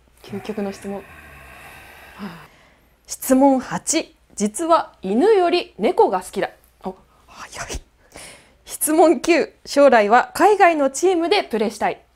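The speaker goes at a very slow pace with long, frequent pauses, very wide pitch swings and big swings in loudness. The background is quiet. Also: woman, high pitch for a woman. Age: 20s. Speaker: TV announcer. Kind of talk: interview; scripted narration. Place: studio. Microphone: lapel.

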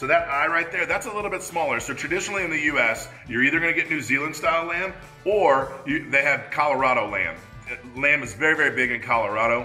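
A man talking at a fairly quick pace, with faint music in the background. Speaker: cooking show host. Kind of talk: tutorial. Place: kitchen.

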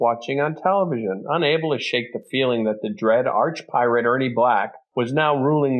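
The voice is a natural reading voice. Pitch shifts only to an ordinary degree.

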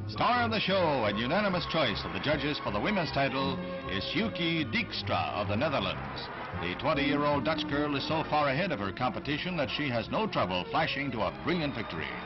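With clear music in the background, a man talks at a fairly quick pace and a fairly high pitch, his pitch swinging very widely. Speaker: newsreel narrator. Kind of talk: newsreel narration. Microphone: old recording.

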